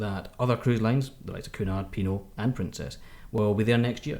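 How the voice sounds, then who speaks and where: A medium-pitched male voice with a Scottish accent. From Scotland. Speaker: podcast co-host, cruise magazine editor. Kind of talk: casual chat.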